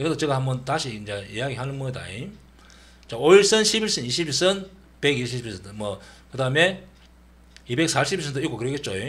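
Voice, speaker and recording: Medium-pitched male speech in a Gyeongsang accent, fairly quick, with very wide pitch swings, long, frequent pauses and audible room echo. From Gyeongsang region, Korea. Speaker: stock trading educator. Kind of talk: tutorial. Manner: casual, with many fillers.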